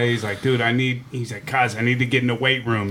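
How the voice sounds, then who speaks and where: A man talks in a Pittsburgh accent. Noticeable background noise runs underneath. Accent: Pittsburgh (western Pennsylvania) American. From Pittsburgh, Regent Square. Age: 40s. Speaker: radio host and comedian. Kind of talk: casual chat. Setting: studio.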